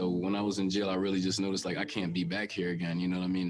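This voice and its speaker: A man with an American accent, very deep and low in pitch, talking at a very fast pace over music in the background. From Jamaica. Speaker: testimonial speaker, former street dealer. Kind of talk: personal testimony. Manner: halting, with fillers.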